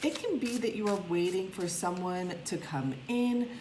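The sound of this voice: With audible room echo, a woman speaks at a fairly slow pace and a fairly low pitch.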